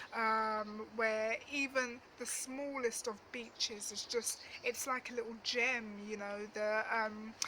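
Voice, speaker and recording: Over noticeable background noise, a woman talks fairly slowly at a fairly high pitch with fairly even intonation. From East London (Dagenham), England. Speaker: travel vlogger. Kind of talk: storytime monologue. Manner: casual, hesitant with fillers.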